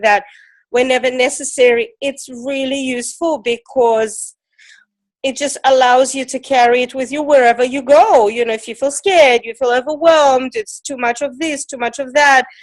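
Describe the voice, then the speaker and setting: The woman has a high-pitched voice and talks at a moderate pace. The background is quiet. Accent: non-native. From Ukraine. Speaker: emotion code teacher. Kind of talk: interview.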